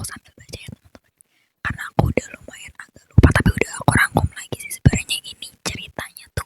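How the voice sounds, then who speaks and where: Whispering, a woman comes through with a dry, close sound with no echo. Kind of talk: personal horror story. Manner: whispered.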